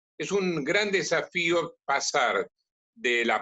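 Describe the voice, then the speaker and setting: The pitch swings very widely. It is a man speaking. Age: 60s. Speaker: priest and catechist. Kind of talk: conversational interview.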